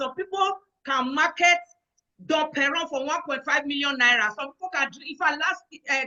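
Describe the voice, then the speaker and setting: At a moderate pace, a woman with a Nigerian accent speaks in a high pitch with ordinary pitch variation. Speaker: event host. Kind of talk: online event hosting.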